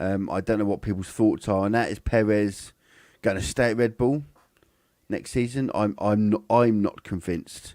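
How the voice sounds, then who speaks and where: A man speaks with a British accent and a fairly low pitch. His tone is dark and mellow. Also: ordinary pitch variation, moderate pace, very clean recording, silent background. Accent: very British. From England, Cambridge. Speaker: F1 live stream host. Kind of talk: live commentary. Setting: live stream from home setup. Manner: halting, many fillers and restarts.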